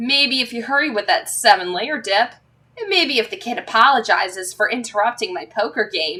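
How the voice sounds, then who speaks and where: A woman does a gruff, growling put-on character voice pitched fairly high, with very wide swings in pitch. She talks at a moderate pace. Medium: read story. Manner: gruff, griping.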